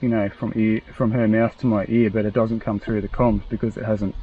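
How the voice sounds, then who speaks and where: Quiet mumbling from a man, fairly low in pitch, flat and monotone, at a fairly quick pace. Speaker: motorcycle enduro vlogger. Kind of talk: casual product review chat. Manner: mumbling, quiet talker.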